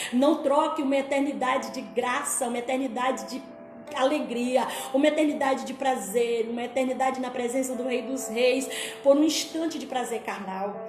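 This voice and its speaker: A woman speaks at a high pitch with fairly even intonation but big swings in loudness. Music plays in the background, and audible room echo fills the space. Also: moderate pace. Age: 60s. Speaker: pastor. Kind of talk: sermon. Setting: at home.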